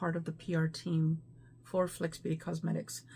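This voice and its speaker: A woman's dark, mellow, somewhat breathy voice. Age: 50s. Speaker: beauty vlogger. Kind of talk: casual talk to camera.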